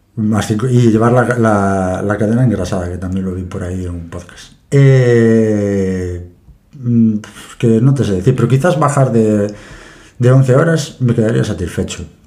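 A man's fairly low voice at a fairly slow pace, with ordinary pitch variation and audible room echo. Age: 30s. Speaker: forklift operator and amateur triathlete. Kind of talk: interview.

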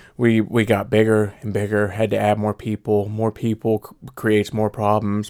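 Recorded with a dry, close sound and no echo, a man with an American accent talks at a moderate pace in a fairly low pitch, in a normal speaking voice. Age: 30s. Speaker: podcast host. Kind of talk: casual chat. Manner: casual, joking.

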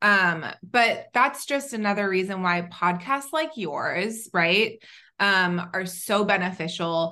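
Against a quiet background, a woman with an American accent speaks very slowly in a medium pitch, her tone bright and sharp and her intonation lively. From Southern California. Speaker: tech founder. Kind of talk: interview.

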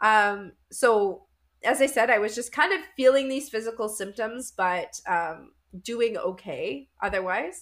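A normal speaking voice with a Canadian accent and lively intonation, at a fairly slow pace. The recording is very clean, with a silent background. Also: woman, fairly high pitch for a woman. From Canada, Winnipeg. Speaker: life coach. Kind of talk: interview.

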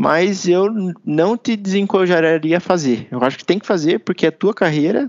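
The speech runs at a moderate pace with hardly any pauses, showing big swings in loudness and ordinary pitch variation. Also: man, high pitch for a man. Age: 20s. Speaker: engineer and project leader. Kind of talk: casual interview. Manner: relaxed, hesitant fillers.

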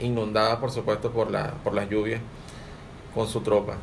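A man talks with audible room echo. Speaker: lodge secretary. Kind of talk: radio talk. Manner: halting, many repetitions.

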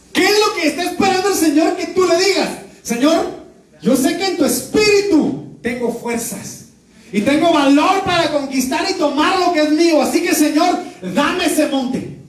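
Amid noticeable background noise and audible room echo, a man with an extremely high pitch speaks at a moderate pace with ordinary pitch variation. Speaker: pastor. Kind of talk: sermon. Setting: church.

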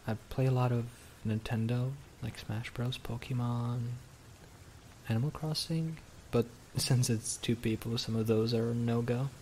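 Speaking at a fairly slow pace with long, frequent pauses, a man has a somewhat breathy, gentle, nervous tone and a monotone, flat intonation. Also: medium pitch for a man. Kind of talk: ASMR roleplay, intimate whispered scripted-feeling scene with a listener. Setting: close-mic ASMR recording. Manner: shy, flustered, stammering and bashful, with nervous laughs and hesitant restarts; soft, tender, gentle and intimate, winding down sleepily.

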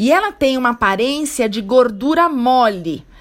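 A woman speaks at a fairly slow pace in a high voice that swings very widely in pitch. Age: 40s. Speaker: health coach. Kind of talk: solo podcast talk. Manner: casual, conversational.

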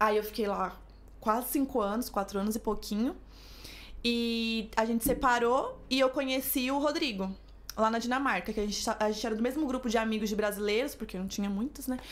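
A woman talks at a fairly quick pace and a fairly high pitch. She has a normal speaking voice with fairly even intonation. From São Paulo. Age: 20s. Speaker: influencer and flight attendant. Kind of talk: casual chat.

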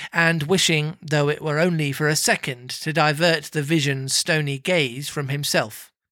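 Delivered at a fairly slow pace in a theatrical tone, the voice comes through on a very clean recording with a silent background. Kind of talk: dramatic narration of a Dickens ghost story, read aloud with theatrical flair. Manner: theatrical, hushed and ominous, with slow deliberate suspense.

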